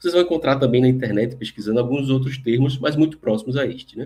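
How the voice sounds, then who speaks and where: A man speaks at a fairly quick pace in a dark, mellow tone, his medium-pitched voice somewhat breathy. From Recife, northeast Brazil. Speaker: lecturer on spirituality. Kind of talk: lecture. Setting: live online stream.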